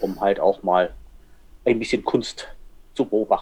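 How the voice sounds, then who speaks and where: A man's voice with monotone, flat intonation. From northern Germany. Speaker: photographer. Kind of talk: casual chat. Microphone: poor sound quality, can microphone.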